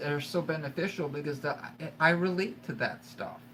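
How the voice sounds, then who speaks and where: Here a man talks with ordinary pitch variation. Noticeable background noise and audible room echo are present. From Ontario, Canada. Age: 40s. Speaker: YouTuber in addiction recovery. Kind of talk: live stream chat. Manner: halting, repetitive.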